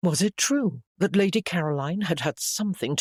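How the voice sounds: Ordinary pitch variation in a natural reading voice, set against a quiet background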